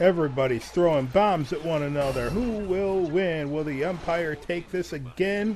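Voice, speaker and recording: A man speaks in an animated tone at a high pitch, with ordinary pitch variation. His moderate pace carries hardly any pauses. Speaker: video game commentator. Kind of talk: live sports-style commentary over gameplay, playing up a ring announcer. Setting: voiceover recorded over gameplay. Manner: animated, excitable, hyping each match like an arena announcer; upbeat, chatty, addresses viewers directly.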